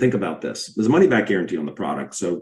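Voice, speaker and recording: The man has a dark, mellow tone and a fairly low pitch. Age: 60s. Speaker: podiatrist promoting a health product. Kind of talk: sales pitch. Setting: video call.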